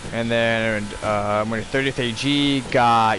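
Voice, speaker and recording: With an American accent, a man speaks in a flat monotone at medium pitch, his voice carrying audible room echo over noticeable background noise. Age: 20s. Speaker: gaming livestreamer, army veteran. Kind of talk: casual livestream chat. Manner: halting, many fillers.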